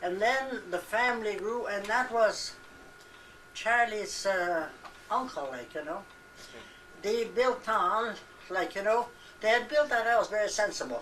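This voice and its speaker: A woman with a fairly high pitch and ordinary pitch variation talks fairly slowly, pausing long and often. Noticeable background noise and audible room echo are present. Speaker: elderly relative interviewed about family history. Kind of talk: casual family reminiscence. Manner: halting.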